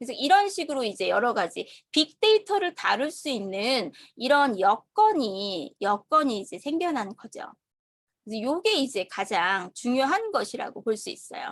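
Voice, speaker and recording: Her loudness rises and falls in big swings, and her pitch swings very widely. The woman is heard over a quiet background. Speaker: online course instructor. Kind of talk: lecture. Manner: slow; halting.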